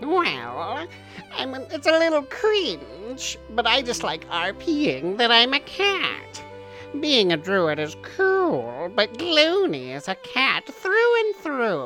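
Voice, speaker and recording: A female-sounding put-on character voice speaks at a very slow pace with clear music in the background. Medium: comedy sketch. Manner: self-centered and demanding.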